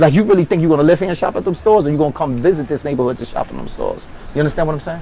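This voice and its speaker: Very fast speech from a man with a fairly high pitch and ordinary pitch variation, over noticeable background noise. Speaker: podcast co-host. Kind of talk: casual discussion.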